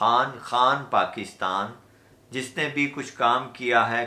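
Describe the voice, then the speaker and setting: The man's voice sits at medium pitch and has a bright, sharp tone. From Pakistan. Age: 50s. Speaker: Urdu poet, radio broadcaster. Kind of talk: poetry reading.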